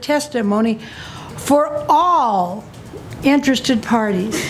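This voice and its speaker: The speech moves at a very slow pace with lively intonation. There is audible room echo and noticeable background noise. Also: woman. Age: 80s+. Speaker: citizen testifying at public hearing. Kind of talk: public testimony. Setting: county commission meeting.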